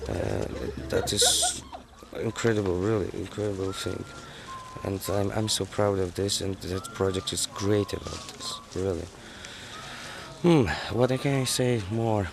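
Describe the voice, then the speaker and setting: A man with a non-native accent talks at a fairly slow pace, pausing long and often. Background noise is noticeable. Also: ordinary pitch variation. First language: not English. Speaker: youth group leader. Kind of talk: interview. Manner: halting.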